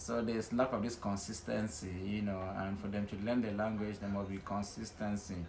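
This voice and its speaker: Over noticeable background noise and audible room echo, a man with a fairly low pitch speaks at a fairly quick pace with hardly any pauses and a monotone, flat intonation. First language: Nwen. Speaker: interviewee. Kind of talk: casual interview.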